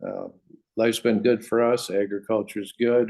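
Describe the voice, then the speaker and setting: A man of medium pitch with an American accent. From West Michigan, US. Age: 60s. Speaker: farmer. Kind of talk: interview. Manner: halting.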